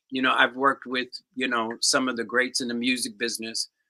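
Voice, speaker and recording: A man speaks in an American accent. His tone is bright and sharp. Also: very clean recording, silent background. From US Northeast, Englewood, New Jersey. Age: 60s. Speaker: percussionist. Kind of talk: interview answers. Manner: halting.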